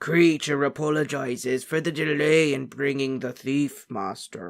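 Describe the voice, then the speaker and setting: Putting on a raspy, croaky character voice, a man speaks at a moderate pace with a fairly high pitch. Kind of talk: servile.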